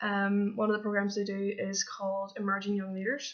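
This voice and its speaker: This woman talks in a Belfast accent. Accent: Northern Irish (Belfast area). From Northern Ireland, near Belfast. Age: 20s. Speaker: camp counsellor applicant. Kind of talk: application video monologue. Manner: hesitant, many fillers.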